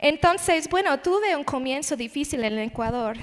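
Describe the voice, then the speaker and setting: A woman talks in an English accent. Her voice is high-pitched, and her intonation is lively. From United States (born in Las Vegas). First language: English (speaking Spanish). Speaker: missionary, conference speaker. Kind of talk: sermon.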